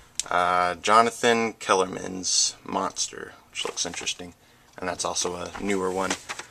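A man's voice at an even, medium tempo over clearly audible background noise. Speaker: book vlogger. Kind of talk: casual vlog chat. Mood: upbeat, enthusiastic. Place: home room. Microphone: phone near.

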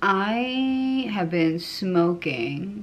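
A woman with an American accent and lively intonation. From Connecticut. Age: 30s. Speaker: vlogger. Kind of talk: casual monologue vlog. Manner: rambling, hesitant with fillers. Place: home room. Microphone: phone near.

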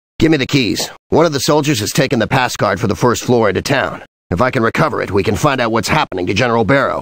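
A man talks at a very fast pace in a put-on character voice. His pitch is medium. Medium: video game. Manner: terse, commanding.

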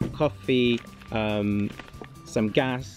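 A man on a dry recording with no echo, faint music in the background. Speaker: product reviewer. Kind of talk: casual review vlog chat. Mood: relaxed and upbeat. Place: garden.

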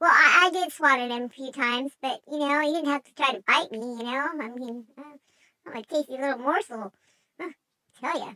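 A put-on character voice, female-sounding and high-pitched for a woman, at a fairly quick pace. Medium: role play. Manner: hesitant, rambling.

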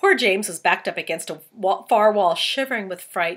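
Someone reads in an unforced voice. Their pitch moves in a lively way.

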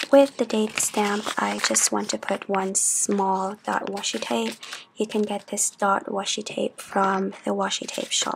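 Over noticeable background noise, a soft-spoken woman talks at a fairly slow pace. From Philippines. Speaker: journaling YouTuber. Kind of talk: chatty ASMR craft tutorial.

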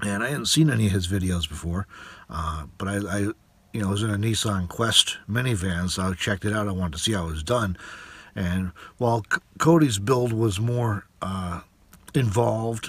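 A somewhat breathy voice at a moderate pace, with ordinary pitch variation and a dry sound free of echo. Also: man, fairly low pitch for a man. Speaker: van dweller vlogger. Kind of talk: casual vlog chat. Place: car. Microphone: phone near.

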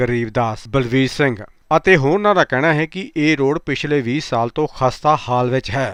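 Recorded dry and close with no echo against a quiet background, a man speaks at a medium pitch in a normal speaking voice. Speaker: news reporter. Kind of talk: scripted news reading.

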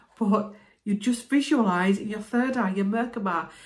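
Against a quiet background, a woman speaks at a medium pitch with ordinary pitch variation. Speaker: spiritual healer vlogger. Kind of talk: explanatory self-help talk to camera. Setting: video, talking to camera. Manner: conversational, relaxed. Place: home room. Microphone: phone near.

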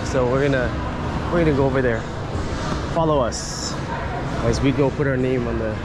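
Loud background noise around a man talking fairly quickly, the sound dry and free of echo. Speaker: walking tour vlogger. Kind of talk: casual vlog chat. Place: hall. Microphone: phone near.

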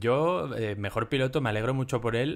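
A plain, everyday voice from a man, moderately paced, its pitch varying in an ordinary way. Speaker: F1 podcast co-host. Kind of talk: casual chat.

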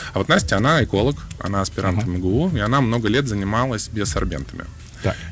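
A man's fairly low voice at a very fast pace, with lively intonation. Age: young. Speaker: government innovation agency official. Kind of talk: radio interview. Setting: radio studio.

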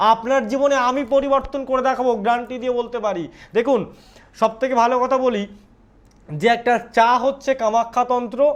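A man with an extremely high pitch speaks with fairly even intonation. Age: young. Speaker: astrologer. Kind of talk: live phone-in show. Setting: livestream.

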